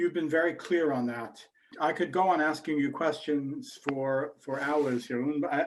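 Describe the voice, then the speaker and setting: With an American accent, a man speaks in an unremarkable speaking voice at a fairly high pitch, using ordinary pitch variation and a moderate pace. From United States. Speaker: investment bank chief executive, webinar host. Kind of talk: webinar Q&A.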